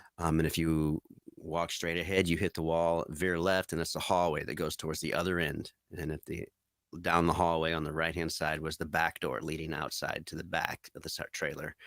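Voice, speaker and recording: On a very clean recording with a silent background, a man speaks at a moderate pace in a very deep, low pitch with monotone, flat intonation. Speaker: eyewitness recounting an encounter. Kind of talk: testimony. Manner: halting, many fillers.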